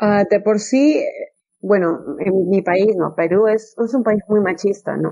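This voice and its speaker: A woman's dark, mellow, medium-pitched voice at a very slow pace with ordinary pitch variation. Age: 20s. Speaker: English teacher. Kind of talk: interview.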